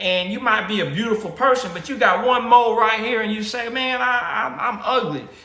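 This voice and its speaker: A man with a high pitch uses a raised, projected voice and lively intonation. He speaks at a moderate pace with audible room echo. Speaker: vlogger. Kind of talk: casual motivational monologue. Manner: halting, many repetitions and fillers; informal, slangy.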